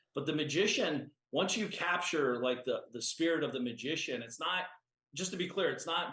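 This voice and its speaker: An animated man with an American accent, at a fairly quick pace with ordinary pitch variation. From US Midwest (small-town Ohio). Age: 40s. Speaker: entrepreneur. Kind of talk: podcast interview.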